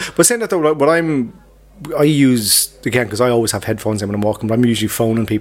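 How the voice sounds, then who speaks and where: A man with an Irish accent talks at a very fast pace, his medium pitch showing ordinary variation, while music plays in the background. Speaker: podcast co-host. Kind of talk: casual chat. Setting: pub.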